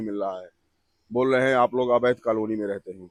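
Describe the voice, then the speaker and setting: Dry and close with no echo, a man at a medium pitch speaks in an ordinary speaking voice at a moderate pace with fairly even intonation. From Chitrakoot, Bundelkhand, India. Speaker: local resident. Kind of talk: street interview.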